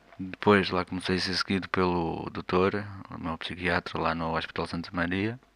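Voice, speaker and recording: He is a man with a very deep, low pitch. His intonation is monotone and flat. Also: moderate pace. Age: 20s. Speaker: podcaster sharing life with schizophrenia. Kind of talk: personal monologue. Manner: hesitant.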